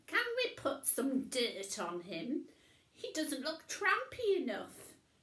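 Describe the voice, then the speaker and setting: In a put-on character voice, a woman speaks at a fairly slow pace, her voice raised and projected, high-pitched and full of very wide pitch swings. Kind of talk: comic overacting in a children's story reading. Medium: read story. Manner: fussy, impatient.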